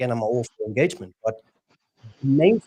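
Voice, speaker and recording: A man with a Dutch accent, a dark, mellow tone and lively intonation, in a dry, close recording without echo. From Netherlands. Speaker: LinkedIn expert. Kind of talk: live stream panel discussion. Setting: live stream.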